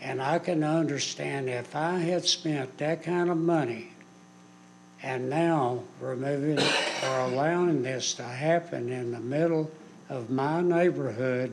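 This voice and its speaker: A man with an American accent and a fairly high pitch, at a very slow pace, with audible room echo and noticeable background noise. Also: ordinary pitch variation. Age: 70s. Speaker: local resident at public hearing. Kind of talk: public comment. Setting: city council meeting.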